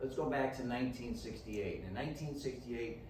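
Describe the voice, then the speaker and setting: A man talks at a fairly quick pace and a medium pitch, with ordinary pitch variation. The room echo is audible, and background noise is noticeable. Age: 60s. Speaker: dietitian and fitness speaker. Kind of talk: lecture.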